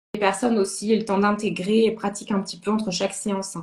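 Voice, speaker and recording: Somewhat breathy and at a medium pitch, a woman talks at a fairly quick pace with monotone, flat intonation. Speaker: sophrologist and medium. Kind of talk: interview chat. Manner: halting.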